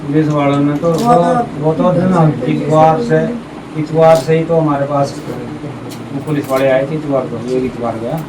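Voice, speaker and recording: Speaking at a moderate pace with long, frequent pauses, a man with a fairly high pitch and ordinary pitch variation is heard over noticeable background noise and audible room echo. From Panipat, Haryana, India. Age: 60s. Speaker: relative of arrested man. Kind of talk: street interview.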